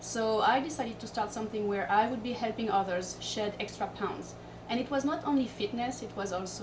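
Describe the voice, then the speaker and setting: A woman with a Corsican accent talks at a fairly quick pace and fairly high pitch with fairly even intonation, against noticeable background noise and audible room echo. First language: French. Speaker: fitness coach and entrepreneur. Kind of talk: interview.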